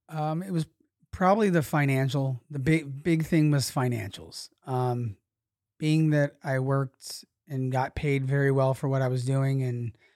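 A man speaks fairly slowly with a dark, mellow tone and fairly even intonation. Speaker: podcast guest, poker dealer. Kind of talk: casual chat, interview.

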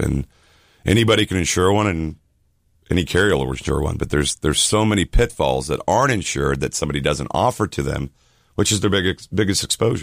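With an American accent and vocal fry, a man talks at a fairly quick pace with lively intonation. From Miami, Florida. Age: 40s. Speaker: insurance agent. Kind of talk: radio interview. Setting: radio studio.

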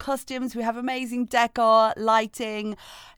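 In an ordinary speaking voice, a woman with fairly high pitch and fairly even intonation talks at a moderate pace, recorded very cleanly with a silent background and a dry, close sound with no echo. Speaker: podcast co-host. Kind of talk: casual chat. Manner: playful, laughing.

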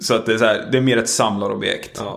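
A man speaks at medium pitch in a monotone, flat intonation at a fairly quick pace, with audible room echo and noticeable background noise. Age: 20s. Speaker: podcast host. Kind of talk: casual chat. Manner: sleepy-sounding.

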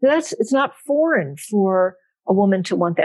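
Using a normal speaking voice, a woman talks at a medium pitch. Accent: American. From South Central Pennsylvania, US. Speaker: biblical scholar. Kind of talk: interview.

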